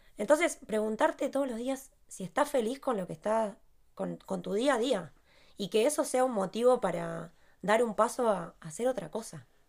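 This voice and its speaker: On a very clean recording with a silent background, a woman with a fairly high pitch speaks at a moderate pace. Her intonation is lively, and there is vocal fry. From Argentina. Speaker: podcast co-host. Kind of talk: casual chat.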